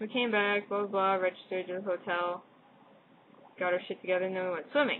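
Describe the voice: A woman with an American accent, fairly quick in pace, with little pitch movement. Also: medium pitch for a woman.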